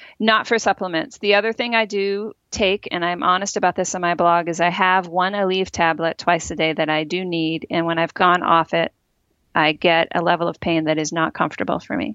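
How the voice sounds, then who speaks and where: This woman has an unremarkable speaking voice, fairly low in pitch with ordinary variation. She talks at a fairly quick pace. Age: 40s. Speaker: health writer and podcast host. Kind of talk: interview.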